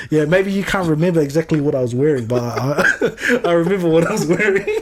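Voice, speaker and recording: A man speaks with a New Zealand accent and a high pitch. Noticeable background noise runs underneath. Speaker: podcast co-host. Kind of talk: casual chat. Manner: halting.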